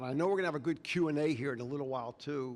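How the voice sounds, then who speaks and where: Here is a man with an American accent, speaking in a normal speaking voice. His pitch is fairly high and his intonation lively. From Texas. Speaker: addiction recovery advocate. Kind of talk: public talk. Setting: stage with audience.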